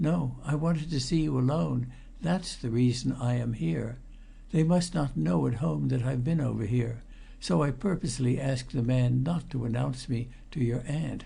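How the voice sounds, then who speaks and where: A man puts on a character voice in a Hoarse, medium-pitched tone at a moderate pace, his loudness very even. Clear background noise is present. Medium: read story. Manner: nervous, hesitant.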